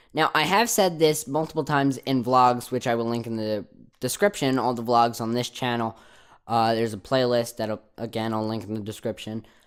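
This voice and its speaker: At a moderate pace, the speaker has a New Jersey accent on a very clean recording with a silent background. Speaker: YouTuber. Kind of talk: casual Q&A vlog. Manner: hesitant, many fillers.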